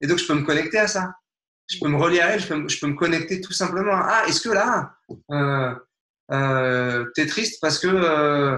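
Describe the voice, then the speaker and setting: A man talks at a fairly high pitch. His pitch varies in an ordinary way. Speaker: nonviolent communication trainer. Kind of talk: interview. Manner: fast.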